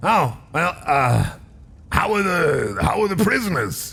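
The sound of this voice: A put-on character voice from a man, high in pitch and fairly slow in pace.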